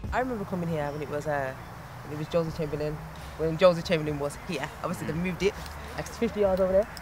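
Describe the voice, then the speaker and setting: Over noticeable background noise, a woman talks at a very fast pace in a Birmingham accent, her pitch very deep and low for a woman. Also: ordinary pitch variation. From Birmingham, England. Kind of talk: casual talk to camera.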